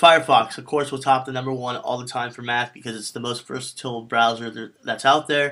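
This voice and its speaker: Fairly quick, nearly pauseless speech from a man, fairly even in intonation but with big swings in loudness, over noticeable background noise. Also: medium pitch for a man. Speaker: tech video host. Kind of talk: tutorial. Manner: fast.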